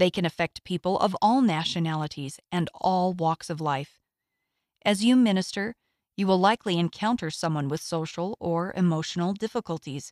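With an unremarkable speaking voice, a woman talks at a moderate pace and fairly low pitch with ordinary pitch variation, in a dry, close sound with no echo. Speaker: audio magazine reader. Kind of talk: reading aloud.

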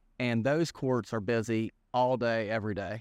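With an Appalachian accent, a man talks over a quiet background in a dry, close sound with no echo. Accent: West Virginia (Appalachian) American. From West Virginia, Greenbrier County. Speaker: fitness manager. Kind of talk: casual interview. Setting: studio.

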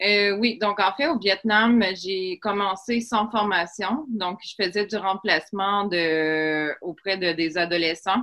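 Speaking at a very slow pace yet with hardly any pauses, a woman uses a medium pitch, ordinary pitch variation and a bright, sharp tone. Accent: Quebec. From Quebec. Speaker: English teacher and former hotel worker. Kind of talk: casual interview.

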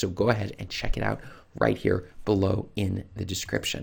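A man with vocal fry at a fairly quick pace, in a very clean recording with a silent background. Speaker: self-publishing coach / YouTuber. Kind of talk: tutorial.

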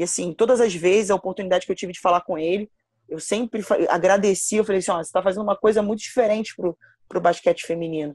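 Very fast speech with fairly even intonation, a dry, close sound with no echo and a quiet background. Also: woman, medium pitch for a woman. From Rio de Janeiro, Campo Grande (West Zone). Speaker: basketball coach. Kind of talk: casual interview.

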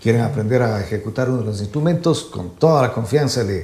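Talking at a very fast pace, a man with a medium pitch and a dark, mellow, somewhat breathy tone uses lively intonation amid audible room echo. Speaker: music show host. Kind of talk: interview. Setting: studio.

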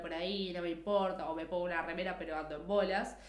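In a Rioplatense accent, a woman speaks at a fairly quick pace amid noticeable background noise and audible room echo. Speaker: podcast co-host. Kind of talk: casual chat.

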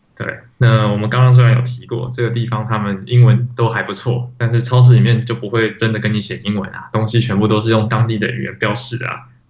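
Over noticeable background noise and audible room echo, a man at a medium pitch speaks at a very fast pace with monotone, flat intonation. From Taiwan. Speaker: podcast co-host, iOS developer. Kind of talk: casual chat.

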